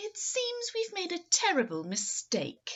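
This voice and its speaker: Putting on a character voice, a woman pitches it extremely high. Her delivery is fairly slow. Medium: read story.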